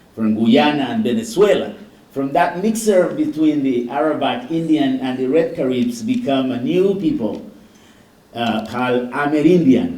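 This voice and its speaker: A man talks at a moderate pace with very wide swings in pitch, and audible echo from the room can be heard. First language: Garifuna. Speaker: physician. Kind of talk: keynote lecture.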